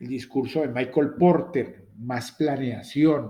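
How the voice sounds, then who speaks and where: A man speaks at a medium pitch with a dark, mellow tone, very slowly and with fairly even intonation, and the room echo is audible. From Latin America. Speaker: university lecturer. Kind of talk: lecture.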